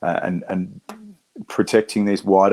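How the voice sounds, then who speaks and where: Speaking at a moderate pace, this man has an Australian accent. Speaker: conservationist, war veteran. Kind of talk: talk to an audience. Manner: halting, many fillers and repeats.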